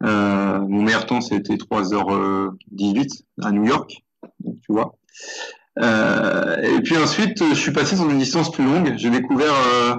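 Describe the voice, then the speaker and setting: Speaking very slowly at a medium pitch, a man keeps his loudness very even while his intonation stays lively. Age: 50s. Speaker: ultra runner. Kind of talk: interview. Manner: halting, many hesitations.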